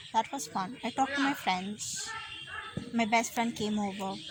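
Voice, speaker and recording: Her voice sits at a fairly high pitch, with ordinary pitch variation. The woman talks at a fairly slow pace against noticeable background noise. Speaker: vlogger. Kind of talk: casual vlog chat. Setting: outdoors at a picnic.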